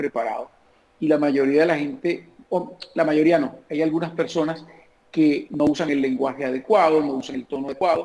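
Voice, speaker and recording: This is a plain, everyday voice. The man speaks at a moderate pace with a fairly high pitch. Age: 50s. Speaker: comedian. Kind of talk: interview answer.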